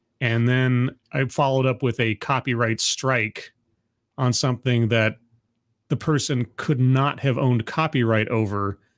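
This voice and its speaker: A man with an unremarkable speaking voice talks at medium pitch and a fairly slow pace, with very even loudness. The recording is very clean and dry, with a silent background and a close sound with no echo. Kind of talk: casual chat.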